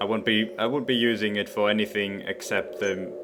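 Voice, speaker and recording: There is noticeable background noise. A man speaks in a fairly low pitch. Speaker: let's play gamer. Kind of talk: gameplay commentary. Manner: louder than normal; halting, many repetitions.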